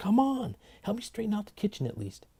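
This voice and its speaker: A put-on character voice from a man, high-pitched and hissing, at a fairly quick pace. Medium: read story. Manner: hissing, impatient.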